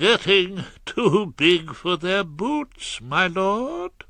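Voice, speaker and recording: Using a put-on character voice, a man speaks very slowly at a high pitch. His intonation is lively. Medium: read story. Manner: deferential.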